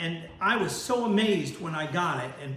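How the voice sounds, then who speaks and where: Amid noticeable background noise and audible room echo, a man talks at a high pitch with ordinary pitch variation. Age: 70s. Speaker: worm farmer and video host. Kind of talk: casual tutorial / product review. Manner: halting, many fillers.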